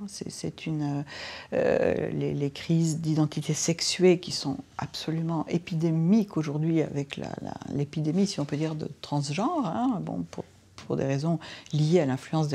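A woman's very deep, low voice, dark and mellow in tone, at a fairly slow pace. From France. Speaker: sociologist; interviewee. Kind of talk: interview. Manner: halting. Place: home room. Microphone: lapel.

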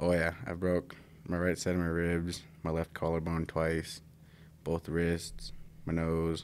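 Monotone, flat intonation at a fairly slow pace over light background noise. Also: man, very deep, low pitch for a man, very even loudness. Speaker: interview guest. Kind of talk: interview answer. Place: studio. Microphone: studio mic.

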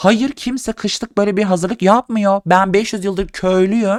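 A man is speaking. His tone is animated and playful. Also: dry, close sound with no echo. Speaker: video creator / vlogger. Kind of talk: casual comedic monologue to camera, food tasting. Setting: home, video recording late at night. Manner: animated, sarcastic, playful.

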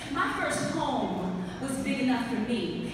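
Through noticeable background noise and strong room echo, a woman speaks at a high pitch. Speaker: spoken word poet. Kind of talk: spoken word poetry performance. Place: hall. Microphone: pa.

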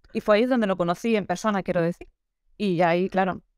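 Over a quiet background, a woman talks at a very fast pace with ordinary pitch variation. The sound is dry, with no echo. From Valencia, Spain; Spain. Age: 30s. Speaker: photographer; interviewee. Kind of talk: interview. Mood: animated, friendly. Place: home room. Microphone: video call.

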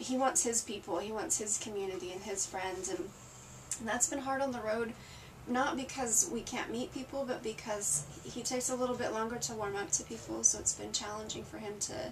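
Noticeable background noise sits behind the speaker. A woman talks at a fairly quick pace. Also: ordinary pitch variation. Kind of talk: interview answer. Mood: reflective, candid. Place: home room. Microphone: camera far.

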